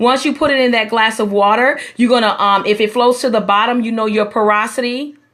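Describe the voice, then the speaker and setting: A woman speaks in a normal speaking voice, fairly high in pitch, at a fairly quick pace with hardly any pauses. Her intonation stays fairly even. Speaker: hair restoration specialist. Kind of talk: live stream tutorial. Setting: live stream broadcast.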